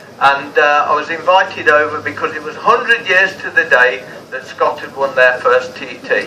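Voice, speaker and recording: Over noticeable background noise, a speaker with an English accent talks at a moderate pace, with very wide pitch swings and big swings in loudness. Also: man, fairly high pitch for a man. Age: 70s. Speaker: vintage motorcycle racer. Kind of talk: interview. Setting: outdoors. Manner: animated.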